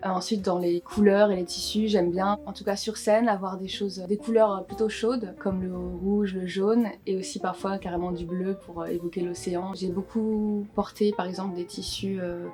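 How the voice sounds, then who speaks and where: Over music in the background, a woman speaks at a moderate pace with a medium pitch, fairly even intonation and hardly any pauses. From Guadeloupe. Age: 20s. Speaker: singer-songwriter. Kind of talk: interview monologue. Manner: hesitant, frequent fillers.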